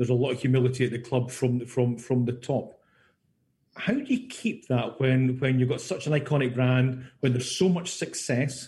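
A man with a medium pitch talks at a moderate pace, his dark, mellow tone somewhat breathy and his intonation fairly even. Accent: Scottish. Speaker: radio host. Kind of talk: radio interview, host. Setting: radio studio.

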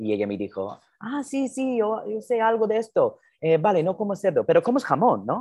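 A man at a moderate pace with an American accent and very wide pitch swings, against a quiet background. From US Northeast (New Jersey). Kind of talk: interview.

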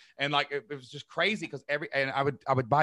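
A man talks at a very fast pace with an energetic, animated tone that is bright and sharp, touched by vocal fry. The sound is dry and close with no echo, on a very clean recording with a silent background. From Southeast Kentucky. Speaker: online business owner and podcaster. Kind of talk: interview storytelling.

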